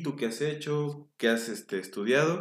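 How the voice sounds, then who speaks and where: A man speaks with lively intonation. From Mexico City. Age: 30s. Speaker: orthopedic surgeon. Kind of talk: interview explaining medical topics. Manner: halting, repeats words.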